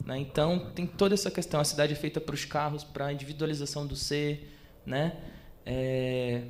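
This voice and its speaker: Amid noticeable background noise and audible room echo, a man speaks at a moderate pace. His pitch is fairly high and his intonation fairly even. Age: 20s. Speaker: photographer. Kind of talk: talk at exhibition with audience Q&A. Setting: stage with audience, microphone. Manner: hesitant, many fillers.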